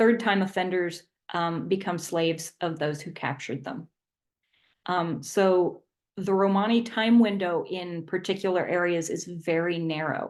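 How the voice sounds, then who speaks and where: A woman speaks with a fairly low pitch and ordinary pitch variation. Her pace is fairly slow, and the background is quiet. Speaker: history presenter. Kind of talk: lecture. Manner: halting, many fillers.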